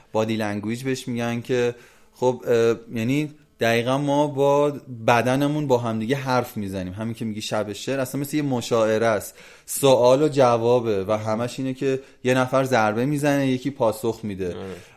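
Medium in pitch, a man speaks with fairly even intonation at a moderate pace. The recording is very clean, the background silent. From Iran, Azeri area. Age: 30s. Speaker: capoeira instructor. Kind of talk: casual interview. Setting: outdoor training space in the mountains.

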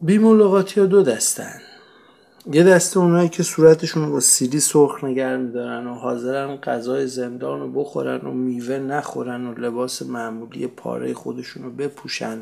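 At a moderate pace, a man speaks at a medium pitch with a dark, mellow tone. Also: ordinary pitch variation, big swings in loudness. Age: 40s. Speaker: podcast narrator. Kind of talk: solo podcast narration.

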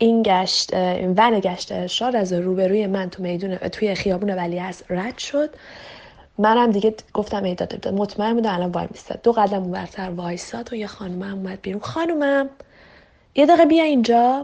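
Lively intonation from a woman at a medium pitch, a plain, everyday voice at a moderate pace. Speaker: interviewee sharing a personal story. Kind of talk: casual storytelling.

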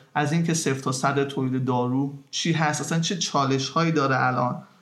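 Over audible room echo, a man speaks very fast in a monotone, flat intonation. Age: young. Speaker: podcast host. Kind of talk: podcast interview and intro.

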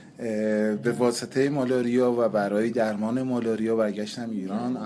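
Words come at a fairly quick pace against noticeable background noise. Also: man. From Iran, Qazvin. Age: 30s. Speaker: touring cyclist and transit truck driver. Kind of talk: interview.

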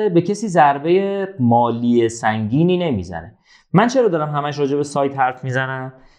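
A man speaks at a fairly high pitch and a moderate pace. His pitch swings very widely. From Iran, Zanjan. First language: Azerbaijani Turkish (speaking Persian). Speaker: entrepreneur, marketing expert. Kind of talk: casual interview.

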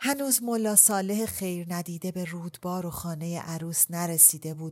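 At a moderate pace, this is a normal speaking voice with lively intonation. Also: woman. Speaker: audiobook narrator. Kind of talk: casual interview chat.

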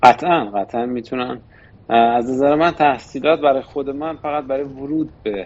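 A man with an ordinary speaking voice and medium pitch. He talks at a moderate pace with ordinary pitch variation. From Iran, Shiraz. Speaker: investment firm board member. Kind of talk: interview. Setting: studio.

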